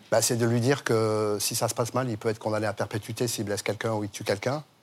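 With a medium pitch, a man speaks at a very fast pace in a monotone, flat way. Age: 60s. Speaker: former bank robber. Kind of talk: interview.

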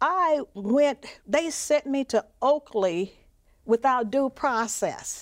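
A woman with a Mississippi accent speaks at a very slow pace and a high pitch, her intonation lively. The recording is very clean with a silent background, and the sound is dry and close with no echo. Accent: Southern US, Mississippi. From Mississippi (Macomb). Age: 70s. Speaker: civil rights activist and author. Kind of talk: interview testimony.

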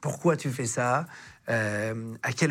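A man talks with lively intonation. His voice is somewhat breathy. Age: 30s. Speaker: podcast host. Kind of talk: interview.

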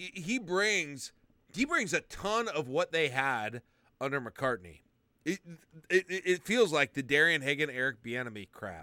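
This very clean recording with a silent background features a man with an American accent whose bright, sharp tone moves through very wide pitch swings. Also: dry, close sound with no echo. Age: 40s. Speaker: sports podcast co-host. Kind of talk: casual chat. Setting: live recording for patrons.

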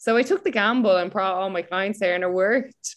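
In an Irish accent, a woman speaks at a moderate pace. Her intonation is fairly even. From Ireland. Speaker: personal trainer. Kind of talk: interview conversation.

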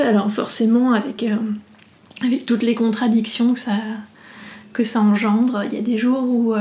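A woman speaks in a flat monotone at a fairly high pitch and a fairly slow pace. Audible room echo and noticeable background noise surround her. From northeastern France, near Reims. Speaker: business founder. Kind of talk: interview. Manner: halting, many hesitations.

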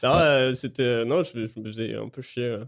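Man with a slight British accent, medium pitch, moderate pace. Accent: French with a slight British tinge. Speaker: stand-up comedian. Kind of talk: casual chat. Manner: halting.

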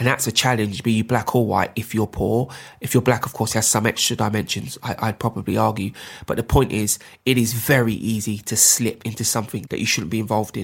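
Very rapid talk from a man, medium-pitched and somewhat breathy, the intonation fairly even. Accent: London. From London, North Kensington. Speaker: politician. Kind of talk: interview. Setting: at home, remote interview.

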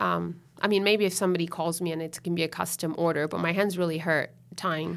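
The speech moves at a very fast pace with vocal fry. The intonation stays monotone and flat. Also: woman, fairly low pitch for a woman. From Miami, Florida (Italian-Venezuelan household). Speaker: fashion designer. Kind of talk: casual interview. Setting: studio.

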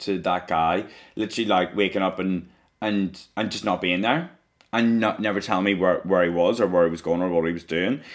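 A man with a Northern Irish accent, very deep and low in pitch, at a fairly quick pace. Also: fairly even intonation. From Northern Ireland, rural outskirts of Belfast. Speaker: drag performer. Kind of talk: casual chat.

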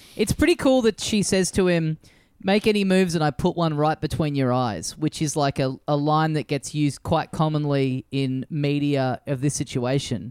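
Someone with an Australian accent speaks at a moderate pace with ordinary pitch variation in a dry, close sound with no echo. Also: man, fairly high pitch for a man. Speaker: podcast co-host. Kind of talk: casual chat.

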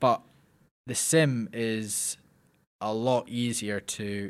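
A man with a Scottish accent speaks at a medium pitch, very slowly, with long, frequent pauses and fairly even intonation, on a very clean recording with a silent background. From Scotland, Lockerbie. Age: young. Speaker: racing driver. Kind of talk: interview.

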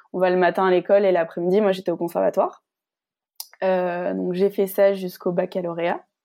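A woman speaks at a fairly quick pace in a medium pitch. Her tone is dark and mellow, her intonation monotone and flat. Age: 30s. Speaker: former journalist turned fitness coach. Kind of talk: testimony interview.

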